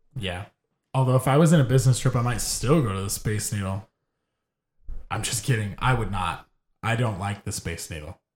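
Over a very clean recording with a silent background, a somewhat breathy man speaks at a fairly quick pace with long, frequent pauses, his medium pitch varying in an ordinary way. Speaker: podcast host. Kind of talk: casual chat. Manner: joking, profane.

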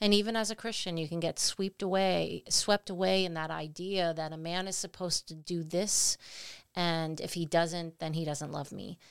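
A woman with an unremarkable speaking voice and fairly low pitch at a moderate pace, in a very clean recording with a silent background. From Italian-American family, US. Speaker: podcast co-host. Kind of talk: casual chat.

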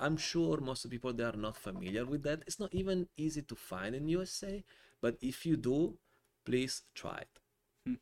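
In an Italian accent, a man with a fairly high pitch speaks at a moderate pace with lively intonation and long, frequent pauses. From Italy (born Calabria, raised near Milan). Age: 40s. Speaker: wine importer. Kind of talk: casual interview. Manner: animated.

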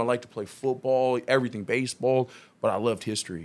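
A man at a medium pitch with an American accent, speaking at a fairly quick pace. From Long Beach, California. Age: 30s. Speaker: union organizer and Marine veteran. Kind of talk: casual chat. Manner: animated.

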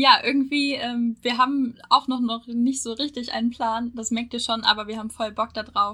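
A woman with a normal speaking voice and fairly even intonation. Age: 20s. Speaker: university student, podcast co-host. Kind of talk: casual chat.

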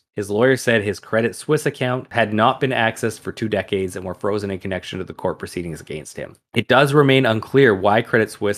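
A man talks in a plain, everyday voice at a fairly quick pace. His pitch is medium, with ordinary pitch variation. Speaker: podcast host. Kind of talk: podcast storytelling, reading article aloud.

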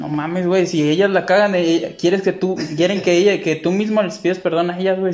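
A man with a high pitch talks at a fairly quick pace, keeping his intonation fairly even. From Mexico, Tepic. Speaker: podcast host. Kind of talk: casual chat.

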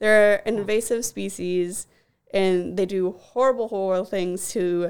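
A woman speaks at a fairly slow pace in a medium pitch. It is an unremarkable speaking voice with fairly even intonation. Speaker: podcast co-host, animal care worker. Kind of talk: casual chat.

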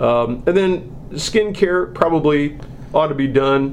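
Noticeable background noise and audible room echo around a man's voice, his pitch variation ordinary. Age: 60s. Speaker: hospital marketing director, podcast host. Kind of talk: casual health chat.

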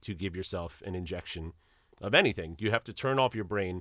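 This man has a plain, everyday voice, fairly low in pitch with ordinary pitch variation. He talks at a fairly quick pace, and the recording is very clean with a silent background. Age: 30s. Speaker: musician and educator. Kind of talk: casual interview chat.

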